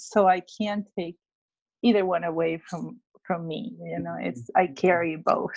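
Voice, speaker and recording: A woman with a Spanish accent speaks fairly slowly, with big swings in loudness. The sound is dry and close, with no echo. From Peru, Lima. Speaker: children's book author and illustrator. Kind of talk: interview.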